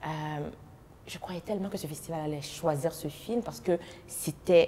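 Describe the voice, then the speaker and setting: Noticeable background noise sits behind a woman with a Haitian accent and a fairly low pitch. She keeps a moderate pace, with ordinary pitch variation and big swings in loudness. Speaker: actress and festival founder. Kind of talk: interview.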